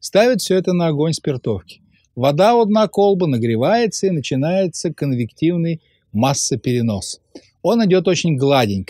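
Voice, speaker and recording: With a quiet background behind him, a man with a high pitch and a dark, mellow, calm tone makes very wide pitch swings. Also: moderate pace, dry sound with no echo. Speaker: science popularizer. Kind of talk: popular science narration. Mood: calm storytelling. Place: studio.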